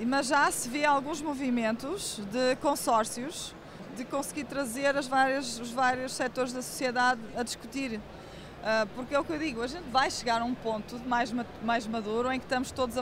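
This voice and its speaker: A woman's high voice at a moderate pace, with fairly even intonation and noticeable background noise. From Portugal. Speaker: tech company CEO. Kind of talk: interview.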